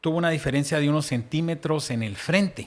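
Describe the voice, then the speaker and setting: With lively intonation and a fairly high pitch, a man talks at a moderate pace on a very clean recording with a silent background. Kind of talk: casual faith discussion.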